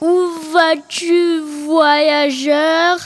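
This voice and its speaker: A woman uses a put-on character voice at an extremely high pitch. Her intonation stays monotone and flat. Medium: read story.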